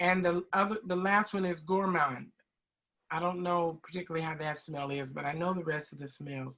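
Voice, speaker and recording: At a moderate pace, a woman with a fairly low pitch speaks with ordinary pitch variation. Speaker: beauty product sales trainer. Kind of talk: online training session. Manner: loud.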